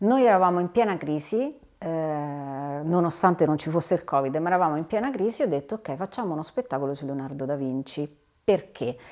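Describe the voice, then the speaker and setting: Against a quiet background, a woman talks at a fairly quick pace. Her pitch is very deep and low, with lively intonation. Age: 40s. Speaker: theatre producer; guest. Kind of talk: interview. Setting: in the host's studio. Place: home room.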